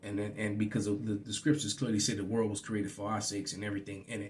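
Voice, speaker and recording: Here is a man with an American accent. His pitch is fairly low. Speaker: religious teacher. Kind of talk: bible teaching. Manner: halting, repetitive fillers.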